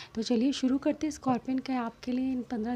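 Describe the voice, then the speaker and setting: A soft-spoken woman with a fairly high pitch and a dark, mellow tone talks at a moderate pace. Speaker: tarot reader. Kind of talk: tarot reading.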